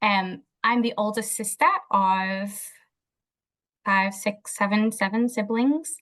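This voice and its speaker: A woman talks at a very slow pace and very even loudness, leaving long, frequent pauses over a quiet background. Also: fairly high pitch for a woman, ordinary pitch variation. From Liverpool, northern England. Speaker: behaviour analyst. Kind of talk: interview.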